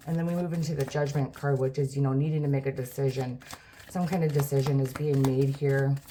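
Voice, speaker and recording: A woman speaks very fast in a very deep, low, monotone voice at very even loudness, with noticeable background noise behind her. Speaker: tarot reader. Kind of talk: tarot reading monologue. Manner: stuttering; casual, filler-heavy.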